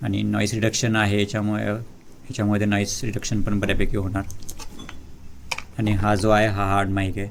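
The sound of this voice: Vocal fry runs through a monotone, flat intonation. The pace is moderate, broken by long, frequent pauses. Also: man, fairly low pitch for a man.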